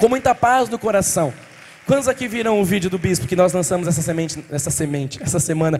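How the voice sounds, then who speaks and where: Over noticeable background noise, a man speaks very fast at a high pitch with lively intonation. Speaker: pastor. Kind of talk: sermon. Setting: church.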